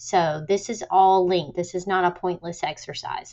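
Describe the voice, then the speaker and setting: A woman speaks in a medium pitch. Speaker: teacher. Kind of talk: tutorial.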